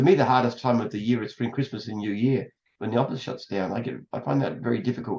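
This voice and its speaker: A man with an Australian accent talks at a very fast pace. His voice is medium in pitch with ordinary pitch variation. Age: 70s. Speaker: entrepreneur. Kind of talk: casual chat.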